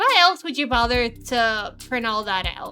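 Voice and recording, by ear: Putting on a character voice, a woman drawls at a high pitch and a moderate pace in a Southern US accent. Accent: Southern American.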